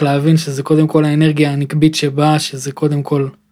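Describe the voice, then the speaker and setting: A man's fairly high-pitched voice in a monotone, flat intonation. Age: 20s. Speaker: podcast host. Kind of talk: casual chat. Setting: studio.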